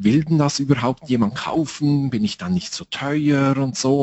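A man talks at a moderate pace with a medium pitch. His pitch variation is ordinary. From Switzerland. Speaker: time management trainer. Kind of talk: interview.

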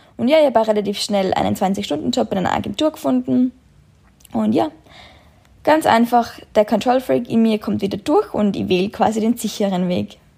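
Her dark, mellow tone at a medium pitch carries very wide pitch swings as the woman speaks at a moderate pace. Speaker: podcaster and travel blogger. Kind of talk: personal storytelling monologue.

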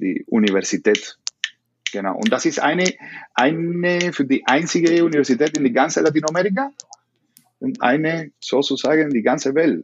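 Speaking with a Spanish accent at a moderate pace, the voice makes very wide pitch swings and takes long, frequent pauses. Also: man, fairly high pitch for a man. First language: Spanish (speaking German). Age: 30s. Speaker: salsa dance teacher. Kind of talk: interview. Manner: halting.

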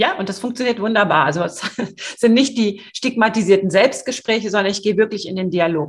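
Somewhat breathy female voice at medium pitch, with lively intonation and a fairly quick pace. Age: 50s. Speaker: sales coach. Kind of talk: podcast interview. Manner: hesitant, many fillers.

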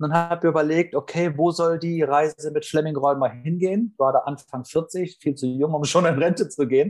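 At a moderate pace and with hardly any pauses, a man speaks at a fairly high pitch in a plain, everyday voice. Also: ordinary pitch variation. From northern Germany. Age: 40s. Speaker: sales trainer. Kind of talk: interview.

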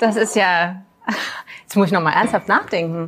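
A woman is speaking. Her pace is moderate. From Magdeburg, Saxony-Anhalt, Germany. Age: 40s. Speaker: tourism marketing executive. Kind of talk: casual chat. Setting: café, filmed livestream.

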